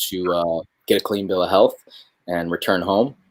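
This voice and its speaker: A man with a Midwestern accent at a moderate pace, on a very clean recording with a silent background. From New York, then Michigan. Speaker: spoken word poet, military veteran. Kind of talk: casual conversation in a livestream.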